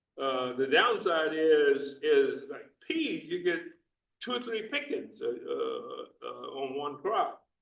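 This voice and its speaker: Audible room echo fills the space. Through it, a man talks at a very slow pace. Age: 80s+. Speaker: retired farmer and speaker at growers meeting. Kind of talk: meeting talk with Q&A. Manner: halting, many fillers and repetitions.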